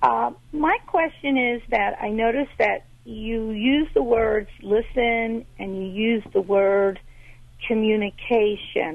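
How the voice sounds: The speaker goes at a slow pace with fairly even intonation and vocal fry. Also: woman, fairly high pitch for a woman.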